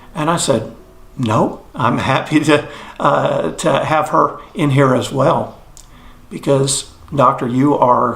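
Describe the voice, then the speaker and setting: With an American accent, a man speaks at a very slow pace and medium pitch, with audible room echo and noticeable background noise. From Texas, Fort Worth. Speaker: near-death experience witness. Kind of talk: testimony. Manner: hesitant, with many fillers.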